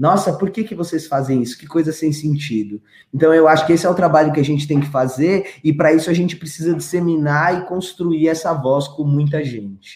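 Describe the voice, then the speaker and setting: Hardly pausing, a man talks at a fairly quick pace in an ordinary speaking voice, fairly high pitched with ordinary variation. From São Paulo, Brazil (Grajaú). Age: 30s. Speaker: tech education entrepreneur. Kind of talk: interview.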